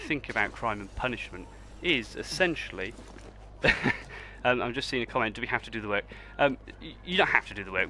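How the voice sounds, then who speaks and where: Words pour out of a man at a very fast pace. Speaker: history teacher. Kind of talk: livestream revision lesson. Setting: live stream while gaming.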